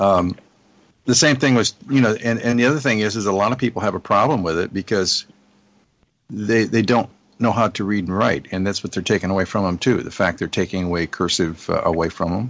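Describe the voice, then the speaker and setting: A man's normal speaking voice, fairly low in pitch with ordinary variation, at a fairly quick pace against a quiet background. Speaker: marketing partner and guest. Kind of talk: casual chat.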